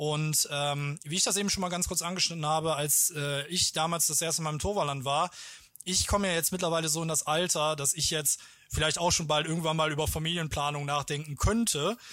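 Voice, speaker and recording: A man speaks fairly quickly in a fairly high voice with a bright, sharp tone. His intonation stays fairly even. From German-Dutch border region, Lower Rhine. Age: 20s. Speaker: theme park marketing manager. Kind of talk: casual interview.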